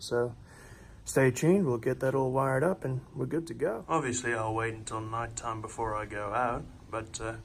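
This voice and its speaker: A somewhat breathy man at a medium pitch and moderate pace. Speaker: car modding vlogger. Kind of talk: tutorial. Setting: voiceover. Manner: monotone; casual, hesitant with fillers.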